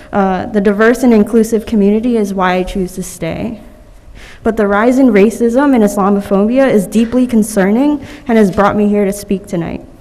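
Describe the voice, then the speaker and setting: A woman's fairly even intonation amid noticeable background noise. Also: medium pitch for a woman, moderate pace. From New York City (Manhattan). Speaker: public commenter at council meeting. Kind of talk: public comment speech.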